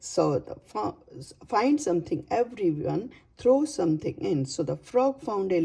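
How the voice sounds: The clip carries a natural reading voice. That voice continues from start to finish.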